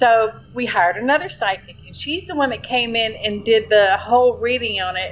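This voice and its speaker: A woman with a Louisiana accent, fairly high in pitch with ordinary pitch variation, at a moderate pace with hardly any pauses and big swings in loudness, over noticeable background noise. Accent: Louisiana Southern US. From Shreveport, Louisiana. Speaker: storyteller of paranormal experiences. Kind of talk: casual storytelling.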